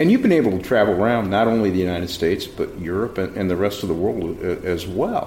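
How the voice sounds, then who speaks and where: A man with an American accent and a fairly low pitch speaks very fast with hardly any pauses and ordinary pitch variation, noticeable background noise behind him. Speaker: mayor and show host. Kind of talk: interview.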